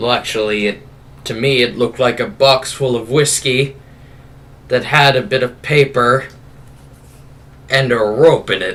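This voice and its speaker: A man performs a put-on character voice at a medium pitch. He keeps a moderate pace with long, frequent pauses. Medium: actual play. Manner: wisecracking, boastful.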